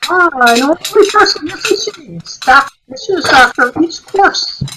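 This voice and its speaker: A woman's put-on character voice, extremely high-pitched, with lively intonation, big swings in loudness and a moderate pace. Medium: stage play. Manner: deliberate, musing, with frequent hmms.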